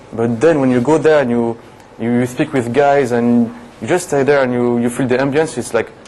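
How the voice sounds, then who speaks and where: A man with a French accent talks at a fairly quick pace, his medium pitch carrying fairly even intonation. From France, Paris. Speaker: TV show guest, French expat. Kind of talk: casual interview chat.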